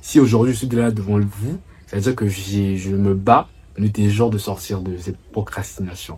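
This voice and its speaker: At a moderate pace, a man with a fairly low pitch and dark, mellow tone speaks in a somewhat breathy voice with fairly even intonation. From Republic of the Congo. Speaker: travel and food vlogger. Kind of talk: vlog to camera.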